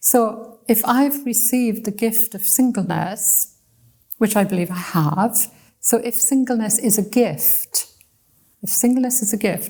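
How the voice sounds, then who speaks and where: A woman speaks at a fairly high pitch with a dark, mellow tone. Her voice is somewhat breathy. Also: ordinary pitch variation. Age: 70s. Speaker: missionary and bible college lecturer. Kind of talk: conversational interview. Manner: hesitant, with repeated words.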